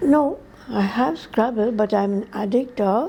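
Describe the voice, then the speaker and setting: A woman's fairly high voice, very slow pace and lively intonation. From India, Anglo-Indian, Uttar Pradesh. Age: 80s+. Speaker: religious sister and teacher. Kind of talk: interview. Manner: halting.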